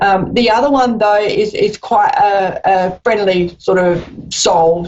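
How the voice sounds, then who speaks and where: Very slowly and at a very even loudness, a woman of medium pitch talks with an Australian accent and fairly even intonation. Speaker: psychic medium. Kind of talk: live phone-in reading.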